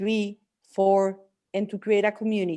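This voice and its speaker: In a Spanish accent, a woman talks at medium pitch on a very clean recording with a silent background. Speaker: coach and healer. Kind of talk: casual chat. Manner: halting.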